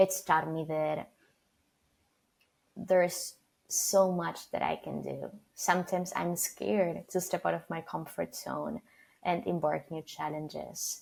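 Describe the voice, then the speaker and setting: A woman with a Spanish accent, with long, frequent pauses. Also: fairly slow pace. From Argentina. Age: 20s. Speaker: PR student leader and founder. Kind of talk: podcast interview.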